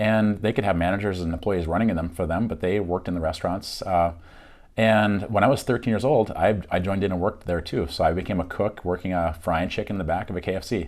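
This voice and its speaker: Talking at a very fast pace, a man with a Minnesota accent has a very deep, low pitch. His intonation stays fairly even. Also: very clean recording, silent background. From Minnesota, Fargo-Moorhead area, partly Michigan. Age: 40s. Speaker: realtor and YouTuber. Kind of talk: casual self-introduction monologue. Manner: casual, frequent fillers.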